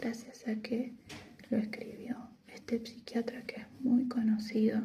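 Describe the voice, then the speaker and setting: At a very slow pace, this soft-spoken voice gets its words out. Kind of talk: casual talk to camera about a book. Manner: soft-spoken, quiet.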